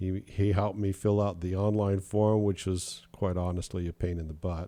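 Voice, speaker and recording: Recorded very cleanly against a silent background, a man speaks at a moderate pace in a very deep, low pitch, with a dark, mellow, relaxed tone and monotone, flat intonation. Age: 70s. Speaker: sailing podcast host. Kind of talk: casual podcast monologue. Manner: relaxed, conversational with fillers.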